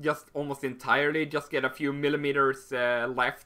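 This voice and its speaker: A man with a fairly high pitch and a bright, sharp tone speaks at a fairly slow pace on a very clean recording with a silent background. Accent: Swedish. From Sweden. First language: Swedish. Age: 20s. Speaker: YouTuber. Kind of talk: Q&A video monologue. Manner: halting, many fillers.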